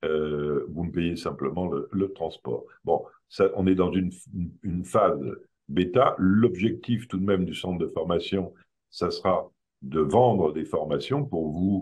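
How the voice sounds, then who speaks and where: This man's voice sits very deep and low, moving at a fairly slow pace with ordinary pitch variation. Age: 70s. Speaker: creator of a behavioural theory, trainer. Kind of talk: public talk presentation. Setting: evening event with audience. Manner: hesitant, many fillers.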